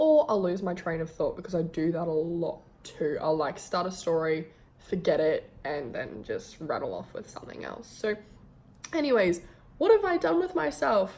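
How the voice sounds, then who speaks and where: A woman is speaking. She has an Australian accent. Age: 20s. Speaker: vlogger and model. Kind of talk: casual vlog introduction. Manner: talkative, chatty.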